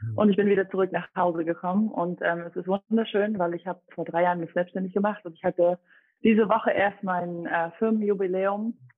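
A woman talks at a fairly quick pace in a plain, everyday voice of medium pitch. Her intonation is fairly even, but her loudness swings widely. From Dresden, Saxony (eastern Germany). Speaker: personal trainer, former competitive athlete. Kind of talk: podcast interview.

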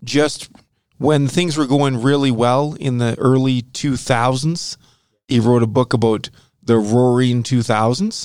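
A man speaks in a normal speaking voice at a medium pitch and a fairly slow pace. His intonation is fairly even, and his loudness stays very even. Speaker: podcast host. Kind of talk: casual chat about finance.

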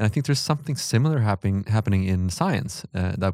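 A man with a Swedish accent, a dark, mellow tone and ordinary pitch variation in a very clean recording with a silent background. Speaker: podcast host. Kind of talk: interview. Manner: halting.

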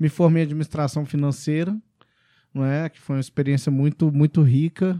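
Over a silent background in a very clean recording, a man talks at a moderate pace with a fairly high pitch, a dark, mellow tone, fairly even intonation and big swings in loudness. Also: dry, close sound with no echo. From Brazil, Belo Horizonte. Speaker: podcast host, franchise consultant. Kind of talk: casual interview chat. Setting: studio.

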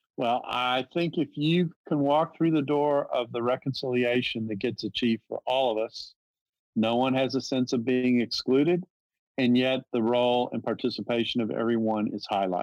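The sound is dry and close with no echo. A man with a plain, everyday voice talks at a moderate pace and medium pitch, with ordinary pitch variation. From US South. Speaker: theology professor. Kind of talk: interview, theological discussion.

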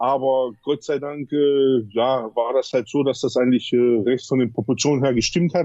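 Speaking in a medium pitch, the man maintains a moderate pace. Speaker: bodybuilder. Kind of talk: interview. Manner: halting, many fillers.

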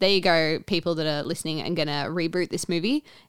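Speaking at a fairly quick pace, a woman with a fairly low pitch is heard in a very clean recording against a silent background. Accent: Australian. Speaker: podcast co-host, teacher. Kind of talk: casual chat.

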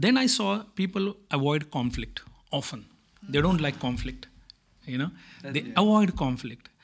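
Speaking in an Indian accent at a moderate pace, a man swings his pitch very widely and leaves long, frequent pauses. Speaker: manager at multinational company. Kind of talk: interview conversation about leadership and culture.

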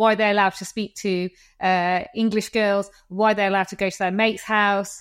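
A woman speaks at a moderate pace in a medium pitch, her intonation monotone and flat. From England, Coventry. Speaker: podcast host. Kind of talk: casual interview chat.

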